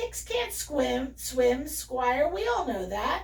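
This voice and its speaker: With clear background noise behind her, a woman speaks at a very slow pace in a put-on character voice. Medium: read story. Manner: gossipy.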